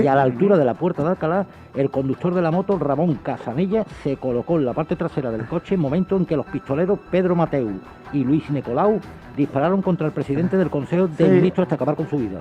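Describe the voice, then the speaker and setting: Over music in the background, a man talks very fast at a fairly high pitch with lively intonation. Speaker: co-host in radio conversation. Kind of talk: radio discussion.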